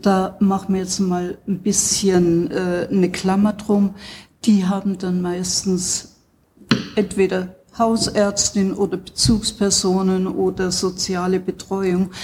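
At a very slow pace, a somewhat breathy voice with a dark, mellow tone speaks in a monotone, flat intonation. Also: woman, medium pitch for a woman. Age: 70s. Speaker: psychosomatic medicine doctor. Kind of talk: interview. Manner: hesitant, many fillers.

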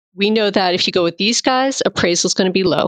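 Speaking at a very fast pace with lively intonation, a woman at medium pitch comes through in a dry, close sound with no echo. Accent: American. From Massachusetts. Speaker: realtor and home stager. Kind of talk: interview.

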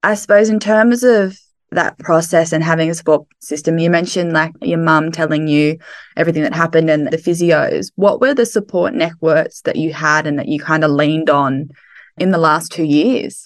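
Fairly low-pitched woman's voice with an Australian accent, moderate pace, quiet background. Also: ordinary pitch variation. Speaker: podcast host. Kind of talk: casual interview. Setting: video call.

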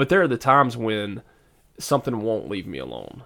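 Talking very fast with a Southern US accent, a man uses a medium pitch and vocal fry. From US South. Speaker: podcast co-host and preacher. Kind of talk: casual faith discussion.

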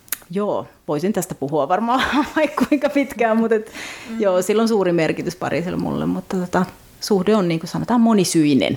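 Over noticeable background noise, a woman with a medium pitch speaks at a fairly quick pace with lively intonation. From Finland. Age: 40s. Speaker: novelist and translator. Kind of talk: casual interview.

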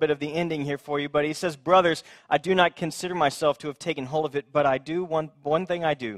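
Speaking at a fairly quick pace, a man with an ordinary speaking voice has a fairly high pitch and ordinary pitch variation, in a very clean recording with a silent background and a dry, close sound with no echo. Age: 30s. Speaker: pastor. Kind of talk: sermon.

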